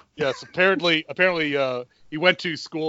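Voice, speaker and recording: Here a man with an American accent has an unremarkable speaking voice. He moves at a fairly quick pace with ordinary pitch variation. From US South, South Carolina. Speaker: podcast host, film reviewer. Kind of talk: casual chat.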